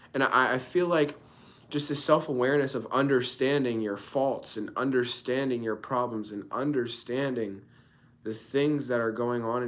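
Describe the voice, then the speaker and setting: At a moderate pace and medium pitch, a man speaks with audible room echo around him. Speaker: content creator. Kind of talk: late-night solo livestream monologue.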